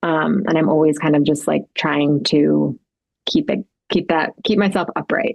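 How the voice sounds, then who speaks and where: A woman speaks at a fairly slow pace with a very deep, low pitch and vocal fry. Her loudness stays very even, and her pitch varies in an ordinary way. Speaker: lifestyle influencer and fashion brand founder. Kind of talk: podcast interview. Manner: halting, self-admitted stuttering.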